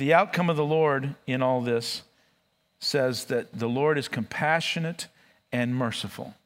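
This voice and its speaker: Lively intonation marks this man's fairly high-pitched voice, delivered at a fairly slow pace. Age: 60s. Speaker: pastor. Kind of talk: sermon. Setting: church.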